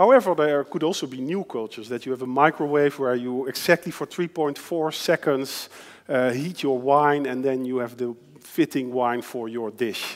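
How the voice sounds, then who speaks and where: The man's delivery comes at a moderate pace. He talks with a Dutch accent. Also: fairly high pitch for a man, ordinary pitch variation. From Netherlands. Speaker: designer and futurist lecturer. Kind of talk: lecture. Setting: stage with audience. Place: hall. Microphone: headset.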